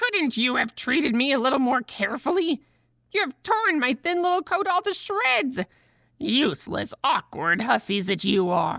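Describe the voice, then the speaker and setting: Putting on a character voice, a woman speaks at a moderate pace with a high, shrill pitch and very wide pitch swings. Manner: angry, scolding.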